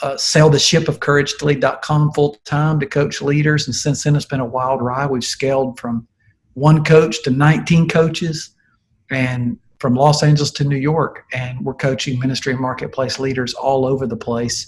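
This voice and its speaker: In a Southern US accent, a somewhat breathy man speaks at a moderate pace with a fairly high pitch and fairly even intonation. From US South. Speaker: leadership coach, former pastor. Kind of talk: interview.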